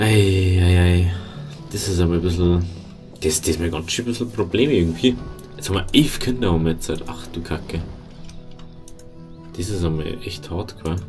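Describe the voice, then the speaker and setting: A man's very deep, low voice with ordinary pitch variation and long, frequent pauses, music playing in the background. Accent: Bavarian. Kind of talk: let's play game commentary. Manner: casual, rambling.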